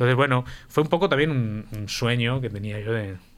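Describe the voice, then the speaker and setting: A man speaks at a moderate pace and a medium pitch with ordinary variation. He has a plain, everyday voice. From Spain, Valencia. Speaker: guitarist. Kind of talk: radio interview.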